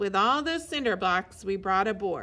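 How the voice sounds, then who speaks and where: A woman does a put-on character voice at a medium pitch, her pitch swinging very widely at a moderate pace. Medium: read story.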